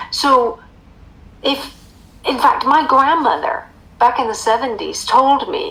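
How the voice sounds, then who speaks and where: High pitch from a woman, with noticeable background noise behind her. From United States. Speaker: author and emotional eating coach. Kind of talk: interview.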